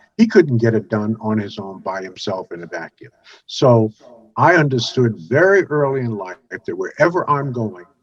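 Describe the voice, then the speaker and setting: In an American accent, a man at a medium pitch talks at a moderate pace with very wide pitch swings. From US Northeast, Brooklyn, New York. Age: 70s. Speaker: networking expert and author. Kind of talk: interview testimony. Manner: frequent fillers and hesitations.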